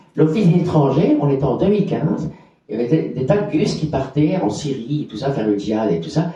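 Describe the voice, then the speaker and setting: A man at a fairly high pitch and fairly quick pace, with lively intonation, big swings in loudness and audible room echo. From Belgium, Borinage (Hainaut). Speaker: activist for homeless people's rights. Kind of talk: conference testimony. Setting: conference with audience. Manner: halting, many repetitions.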